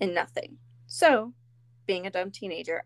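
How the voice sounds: Reading done in a natural voice.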